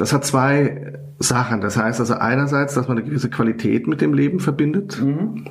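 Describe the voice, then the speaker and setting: Against noticeable background noise, a man with a medium pitch keeps a moderate pace and very even loudness. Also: lively intonation. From Germany, near Frankfurt. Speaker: rabbi. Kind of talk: interview. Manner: hesitant, many fillers.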